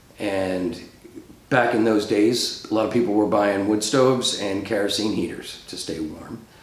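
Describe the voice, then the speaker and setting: Noticeable background noise and audible room echo surround a man speaking at a moderate pace. He has an American accent, a fairly low pitch and ordinary pitch variation. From Rhode Island, US. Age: 60s. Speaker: professional planner, oral history interviewee. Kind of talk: oral history interview. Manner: hesitant, many fillers.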